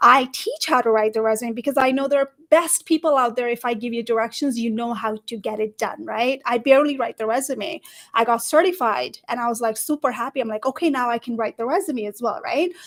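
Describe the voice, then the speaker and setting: A woman speaks at a fairly quick pace with a high pitch and ordinary pitch variation. The sound is dry and close, with no echo. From Nepal. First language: Nepali. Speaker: career coach. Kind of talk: panel discussion. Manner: animated.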